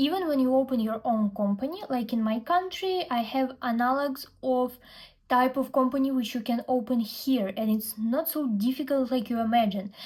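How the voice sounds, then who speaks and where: A woman speaks at a moderate pace with a Russian accent. Her pitch is high, with ordinary variation. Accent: Russian accent in English, non-native. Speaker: fashion influencer and brand founder. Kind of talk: vlog storytelling.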